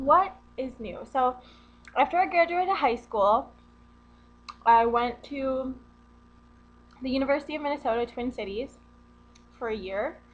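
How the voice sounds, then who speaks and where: Lively intonation in a northern US accent at a moderate pace, with big swings in loudness and long, frequent pauses. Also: woman, high pitch for a woman. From US Midwest, central Wisconsin. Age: 20s. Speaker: vlogger. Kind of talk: casual vlog. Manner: casual, rambling with fillers.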